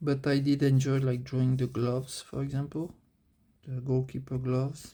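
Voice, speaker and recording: A man with a French accent speaks at a moderate pace in a medium pitch, his somewhat breathy voice dark and mellow in tone, his intonation monotone and flat. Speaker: amateur manga artist. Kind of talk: casual vlog commentary. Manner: halting, many fillers.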